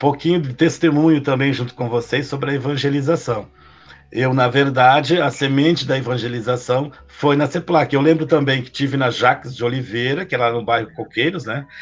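A man with a medium pitch and fairly even intonation keeps to a moderate pace. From Taquari, Rio Grande do Sul, Brazil. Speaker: podcast host. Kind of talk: interview. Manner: halting.

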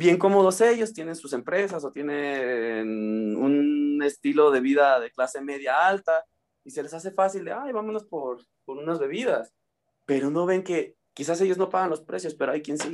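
Using a plain, everyday voice, a man with a fairly high pitch talks at a moderate pace with big swings in loudness. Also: lively intonation. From Mexico, Uruapan, Michoacán. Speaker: English teacher. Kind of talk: interview.

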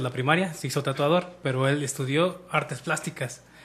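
A man's fairly high, somewhat breathy voice keeps a moderate tempo. His pitch varies in an ordinary way. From Mexico, Michoacán. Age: 30s. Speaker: podcast co-host. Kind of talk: casual chat.

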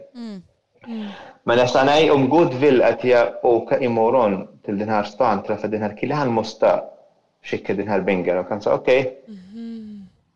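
Delivered at a moderate pace with an Arabic accent, the speech has lively intonation. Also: man, medium pitch for a man. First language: Arabic (speaking Swedish). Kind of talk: testimony. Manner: halting.

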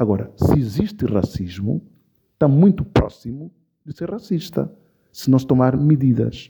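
Somewhat breathy and dark, mellow in tone, a man's medium-pitched voice moves at a fairly slow pace with very wide pitch swings. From São Tomé and Príncipe. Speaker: actor and storyteller. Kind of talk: interview.

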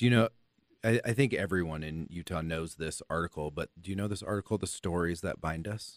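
A very deep, low-pitched man's voice with an American accent, fairly quick pace and ordinary pitch variation, dry and close with no echo on a very clean recording with a silent background. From US, Los Angeles. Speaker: podcast host. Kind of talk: casual interview chat.

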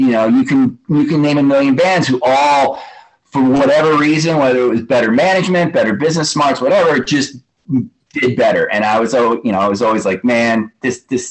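A man with an American accent speaks in a normal speaking voice at a medium pitch. His intonation is lively and his pace fairly quick. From New York City. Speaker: hardcore punk musician. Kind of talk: interview.

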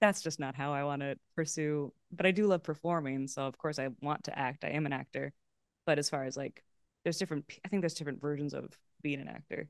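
The speaker has a Californian accent and a very fast pace. The sound is dry and close, with no echo. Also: woman, very deep, low pitch for a woman. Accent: Californian American. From Los Angeles, California. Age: 30s. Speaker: improv comedian and actor. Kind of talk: casual chat. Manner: animated.

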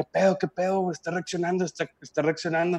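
Recorded with a dry, close sound and no echo, a man talks with a Mexican accent. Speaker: podcast guest. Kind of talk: casual chat, joke telling. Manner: animated.

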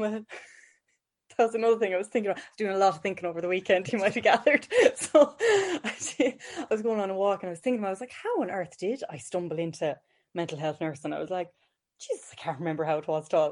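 Talking at a very fast pace, a woman with a west of Ireland accent uses lively intonation. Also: medium pitch for a woman. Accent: rural west of Ireland. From Ireland, County Galway, rural. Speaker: mental health nurse. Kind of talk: casual interview chat.

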